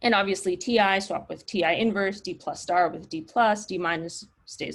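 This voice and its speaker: A woman's medium-pitched voice with vocal fry. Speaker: mathematics researcher. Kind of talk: lecture.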